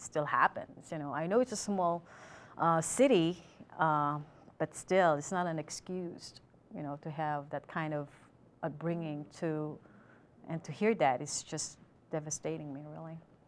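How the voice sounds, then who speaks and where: Someone with a Filipino accent talks at a moderate pace, showing ordinary pitch variation and big swings in loudness. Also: woman. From Philippines. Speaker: student. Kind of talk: interview; prepared commentary.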